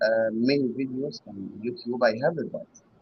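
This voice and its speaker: Speaking with a non-native accent, a man talks at a fairly high pitch and a fairly slow pace in a somewhat breathy voice. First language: not English. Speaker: hobby metal detectorist caller. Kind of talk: casual Q&A on live show. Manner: halting.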